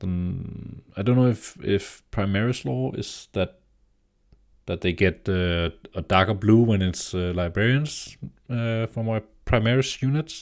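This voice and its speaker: Speaking with a Danish accent, a man moves at a fairly slow pace with long, frequent pauses and lively intonation. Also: fairly low pitch for a man, very clean recording, silent background. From Denmark. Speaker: tabletop gaming YouTuber. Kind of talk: casual commentary. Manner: halting, many fillers and repeats.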